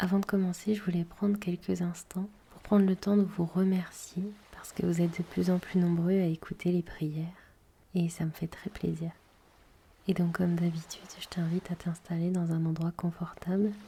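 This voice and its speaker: A woman speaks in a fairly low, calm, soothing tone at a moderate pace, her intonation monotone and flat. Her loudness swings widely. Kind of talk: podcast introduction.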